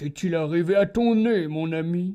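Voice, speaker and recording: The recording is very clean with a silent background. A man talks at a fairly slow pace and fairly high pitch. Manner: mocking, silky, then cold and menacing.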